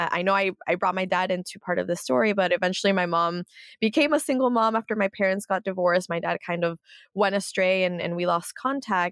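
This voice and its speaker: A woman's unremarkable speaking voice with an American accent, medium-pitched and fairly quick, with ordinary pitch variation and a quiet background. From US, San Jose and South Florida. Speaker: media founder and political analyst. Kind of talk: interview.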